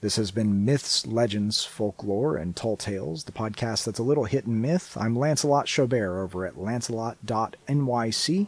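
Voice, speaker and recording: In an ordinary speaking voice, a man with a medium pitch and ordinary pitch variation talks at a moderate pace with hardly any pauses. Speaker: podcast host and storyteller. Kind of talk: bedtime fable reading, cold read aloud of a short story. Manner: casual, unrehearsed, self-deprecating intro.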